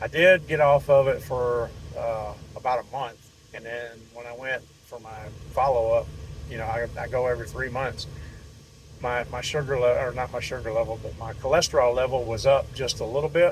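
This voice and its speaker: Over noticeable background noise, a man keeps fairly even intonation at a moderate pace while his loudness swings widely. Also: medium pitch for a man. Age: 60s. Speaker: network marketing distributor. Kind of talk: sales pitch. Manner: halting.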